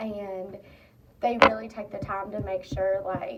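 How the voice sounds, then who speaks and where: A woman speaks over noticeable background noise. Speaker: student. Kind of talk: personal reflection monologue.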